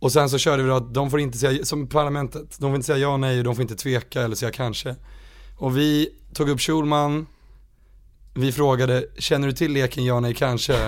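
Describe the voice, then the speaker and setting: Speaking at a fairly quick pace, a man holds a medium pitch in a monotone with flat intonation. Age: 20s. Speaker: musician. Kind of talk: casual chat.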